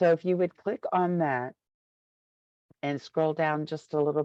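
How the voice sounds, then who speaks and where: A woman speaks at a very deep, low pitch. Her pace is fairly slow and her intonation fairly even. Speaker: state education initiative staff. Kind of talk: webinar presentation.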